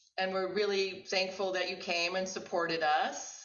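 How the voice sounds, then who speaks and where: A woman speaks at medium pitch with audible room echo. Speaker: art lecturer. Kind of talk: lecture discussion.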